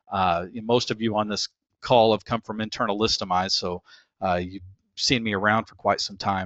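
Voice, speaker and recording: A man's fairly low, monotone, flat voice with a slight Texas accent and big swings in loudness. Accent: slight Texas drawl. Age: 40s. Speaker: internet marketer. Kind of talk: webinar presentation. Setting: webinar. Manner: casual, many filler words.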